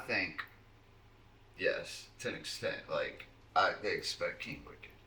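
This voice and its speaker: Speaking with a Virginia accent, a man talks at a very slow pace. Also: long, frequent pauses, big swings in loudness. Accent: Southern US (Virginia). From Southside Virginia, Keysville. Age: 30s. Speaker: underground rapper. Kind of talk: casual chat. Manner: animated.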